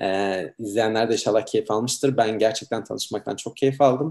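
The man's voice holds a medium pitch and moves with ordinary pitch variation. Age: 30s. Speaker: livestream host. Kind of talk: online interview.

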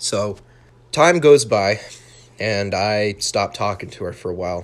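With an American accent, a man speaks at a fairly slow pace and fairly low pitch, showing ordinary pitch variation and long, frequent pauses. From Utah. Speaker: podcast host. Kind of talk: monologue storytelling. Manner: animated; halting.

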